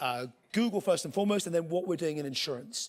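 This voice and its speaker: A man with a British accent speaks at a high pitch with lively intonation. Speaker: tech executive giving a conference talk. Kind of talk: conference keynote presentation. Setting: stage with audience. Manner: casual, humorous, with filler words.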